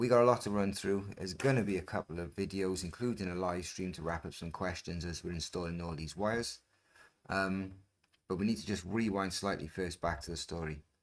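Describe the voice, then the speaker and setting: Speaking at a fairly quick pace, a man with a British accent has a very deep, low pitch and ordinary pitch variation. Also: very clean recording, silent background. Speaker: scooter repair and modding youtuber. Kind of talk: tutorial. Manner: fast; casual, with filler ums.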